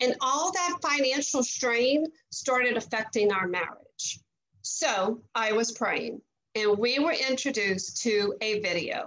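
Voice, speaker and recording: Speaking in a Southern US accent against a quiet background, a woman uses a high pitch and lively intonation at a fairly slow pace. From Louisiana. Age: 50s. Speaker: network marketing leader, former teacher. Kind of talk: testimony. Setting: video call. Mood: earnest, upbeat testimonial. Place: home room. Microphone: video call.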